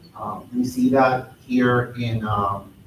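A man's voice carries audible room echo and light background noise. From Nicaragua. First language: Spanish. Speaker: housing advocate; panelist. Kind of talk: panel discussion. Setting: gallery with live audience. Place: hall. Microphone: podium.

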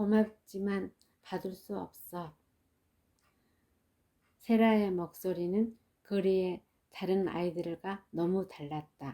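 The tone is dark and mellow. Words come at a very slow pace. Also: woman. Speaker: mother reading children's books aloud. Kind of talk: audiobook reading of a children's story. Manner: soft, ASMR-style.

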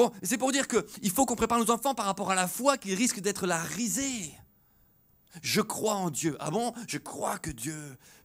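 In a quiet setting, a man with a high pitch speaks at a fairly slow pace in an animated tone with lively intonation. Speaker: preacher. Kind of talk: sermon. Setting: church with congregation. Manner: animated, exhortative preaching with call-and-response 'Alléluia' and 'Amen'; conversational, with light humor. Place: church. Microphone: handheld.

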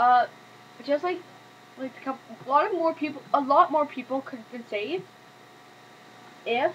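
A woman's high voice at a moderate pace, with long, frequent pauses, big swings in loudness and light background noise. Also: ordinary pitch variation. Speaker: vlogger. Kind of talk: casual talk to camera. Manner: stuttering, hesitant. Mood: indignant about the lifeboats. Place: home room. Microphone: webcam.

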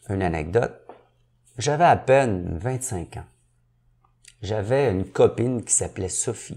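On a very clean recording with a silent background, a man with a dark, mellow tone and medium pitch speaks at a fairly slow pace with lively intonation, big swings in loudness, and long, frequent pauses. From Quebec, Montreal (Saint-Henri). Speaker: entrepreneur and business coach. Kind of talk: interview.

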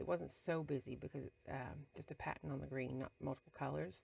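A woman is speaking. Her pace is moderate. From England. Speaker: scrapbooking crafter. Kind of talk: voice-over tutorial narration. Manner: casual, hesitant with fillers.

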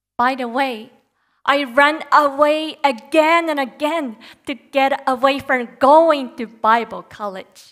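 Against a quiet background, the speaker goes at a very slow pace with ordinary pitch variation. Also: woman, high pitch for a woman. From Japan, Nagoya; Japan. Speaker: Bible college student preacher; preacher. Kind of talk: sermon. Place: church. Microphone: headset.

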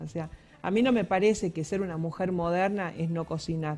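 A woman talks at a fairly low pitch and a moderate pace. Her pitch variation is ordinary. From Argentina. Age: 50s. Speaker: psychologist; guest. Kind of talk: radio interview. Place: studio. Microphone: headset.

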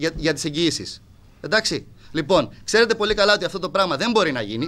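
A man talks at a fairly quick pace with lively intonation. His tone is bright and sharp. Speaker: football club president. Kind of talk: heated confrontation at press meeting; press conference statement. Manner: abrupt and aggressive; animated, repetitive. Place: hall. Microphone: podium.

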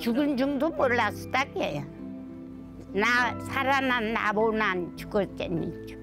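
Clear music plays behind a woman speaking at a very slow pace in a Jeju accent, with a dry sound and no echo. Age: old. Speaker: survivor of a massacre. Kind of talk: interview answer. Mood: recounting painful memories. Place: open country. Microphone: lapel.

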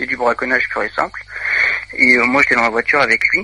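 Noticeable background noise fills the recording. A man's voice is heard over it. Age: 20s. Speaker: caller. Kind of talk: testimony. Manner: halting.

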